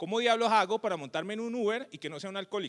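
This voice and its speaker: The man has a high pitch with ordinary variation and an animated tone. The sound is dry and close, with no echo. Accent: strong Cali. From Colombia, Cali. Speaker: tech company co-founder and CEO. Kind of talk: conference talk. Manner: animated, colloquial.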